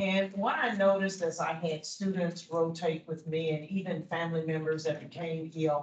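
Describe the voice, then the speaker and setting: A woman talks in a fairly low pitch at a moderate pace, with hardly any pauses. Her intonation is monotone and flat. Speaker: physician. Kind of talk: personal testimony to a class. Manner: loud. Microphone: no microphone.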